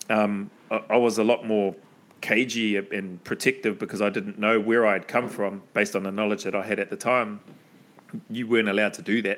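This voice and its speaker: With a New Zealand accent, a man speaks at a fairly quick pace in a fairly low pitch with monotone, flat intonation. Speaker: podcast host, former special forces soldier. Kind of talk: casual chat; scripted intro.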